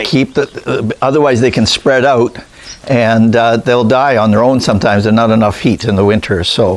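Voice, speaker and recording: A man speaks at a moderate pace at medium pitch with very even loudness. Noticeable background noise runs underneath. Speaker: rabbit breeder, channel host. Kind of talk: casual interview questions on farm tour.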